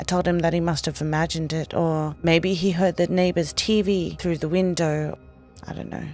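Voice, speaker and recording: Music can be heard in the background. Over it, this woman talks at a moderate pace. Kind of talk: horror story narration.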